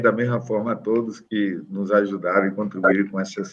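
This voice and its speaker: A man does the talking here. The tone of his voice is bright and sharp. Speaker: court councillor. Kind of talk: formal court session, reading report. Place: office. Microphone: video call.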